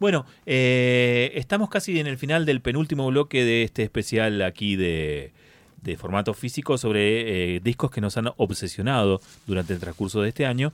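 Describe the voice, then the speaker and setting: A man's medium-pitched voice in a Rioplatense accent, with very wide pitch swings, a dry, close sound without echo and a very clean recording against a silent background. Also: moderate pace. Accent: Argentine Rioplatense Spanish. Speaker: radio host. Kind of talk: casual chat.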